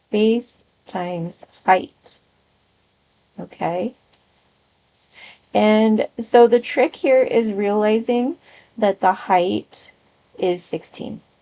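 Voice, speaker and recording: A woman's fairly high, dark, mellow voice at a very slow pace, with long, frequent pauses. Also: ordinary pitch variation. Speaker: math teacher. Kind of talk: tutorial.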